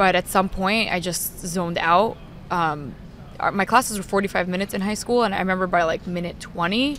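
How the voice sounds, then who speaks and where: At a fairly quick pace, a woman speaks at medium pitch with ordinary pitch variation and a slight New York accent. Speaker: sports talk show host. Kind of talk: casual chat. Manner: loud.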